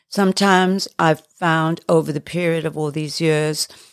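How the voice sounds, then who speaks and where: A woman speaks fairly slowly in a fairly low voice with monotone, flat intonation. The very clean recording has a silent background and a dry, close sound with no echo. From South Africa. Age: 70s. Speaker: retired ballerina and choreographer. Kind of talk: casual interview chat.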